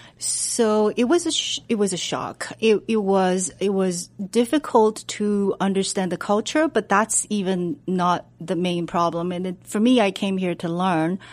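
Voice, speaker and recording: A woman with a Chinese accent, medium pitch and ordinary pitch variation, at a fairly slow pace with hardly any pauses. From China. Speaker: medical researcher. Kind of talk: radio interview. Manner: halting, many fillers.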